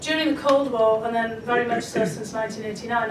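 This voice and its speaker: A fairly high-pitched woman in a Scottish accent at a very fast pace, with fairly even intonation, audible room echo and noticeable background noise. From Scotland. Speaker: foreign policy expert. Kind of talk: panel discussion. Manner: hesitant, many fillers.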